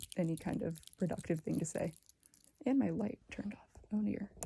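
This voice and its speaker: A soft-spoken woman talks at a moderate pace with a dark, mellow tone and vocal fry. Her pitch is fairly low and her intonation lively. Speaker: ASMR creator. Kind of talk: ASMR soft-spoken chatty talk.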